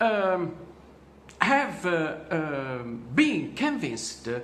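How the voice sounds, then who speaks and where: There is noticeable background noise and audible room echo. Over it, a man talks in a fairly high pitch. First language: not English. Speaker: vlogger telling his own story. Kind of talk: personal testimony monologue. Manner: halting, many fillers.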